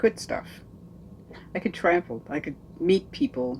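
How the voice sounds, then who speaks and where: Her voice is very deep and low in pitch, and this woman talks at a moderate pace with lively intonation. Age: 70s. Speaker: aspiring nomad, van-life vlogger. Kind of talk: casual talk to camera.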